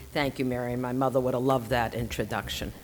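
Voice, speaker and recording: A woman's very deep, low voice with a Boston accent. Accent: Boston, non-rhotic. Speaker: lecturer, non-profit leader. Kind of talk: lecture.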